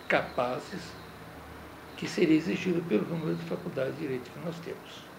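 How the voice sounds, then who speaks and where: A man is speaking in a space with audible room echo. Noticeable background noise is present. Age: 70s. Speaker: lawyer and law professor. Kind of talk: interview.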